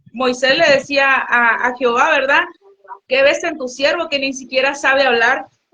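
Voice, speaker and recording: A woman speaks with a high pitch and fairly even intonation. Her pace is moderate. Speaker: guest minister. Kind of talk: testimony. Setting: livestream. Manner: stutters at times; halting, many fillers.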